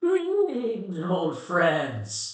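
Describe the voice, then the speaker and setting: With a slight echo, a put-on character voice sits at a middle pitch. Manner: greeting.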